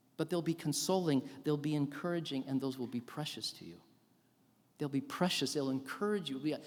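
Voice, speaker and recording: A man's fairly high voice moves at a fairly quick clip, its pitch varying in an ordinary way. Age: 60s. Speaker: professor of theology, chapel speaker. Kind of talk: sermon. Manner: animated.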